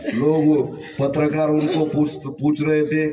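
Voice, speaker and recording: Through noticeable background noise and audible room echo, a man with a Marathi accent speaks in a fairly high pitch with monotone, flat intonation. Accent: Marathi-accented rustic Hindi. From rural Maharashtra, India. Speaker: comedian. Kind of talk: stand-up.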